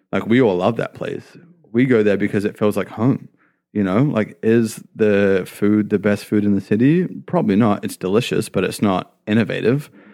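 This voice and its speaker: A man's fairly low, dark, mellow voice at a moderate pace, with ordinary pitch variation, on a very clean recording with a silent background. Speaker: restaurant general manager. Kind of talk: casual chat.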